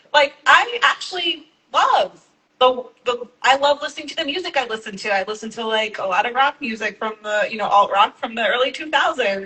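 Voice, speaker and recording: This woman has an American accent and a high pitch. She talks at a fairly quick pace with lively intonation. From Texas (small town). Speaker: activist panelist. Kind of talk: panel discussion. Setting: live event with audience.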